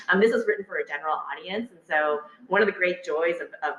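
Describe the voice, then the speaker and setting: The words come out at a very fast pace. Noticeable background noise can be heard throughout. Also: woman. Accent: Texas. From Texas, Houston. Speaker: political scientist, author. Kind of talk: public talk with audience discussion. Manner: hesitant, many fillers and repetitions.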